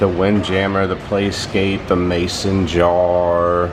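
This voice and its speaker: The speech comes at a very slow pace. Noticeable background noise and audible room echo are present. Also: man. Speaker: travel vlogger giving ship tour. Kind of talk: walkthrough tour narration. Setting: on a cruise ship, walking. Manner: casual, conversational.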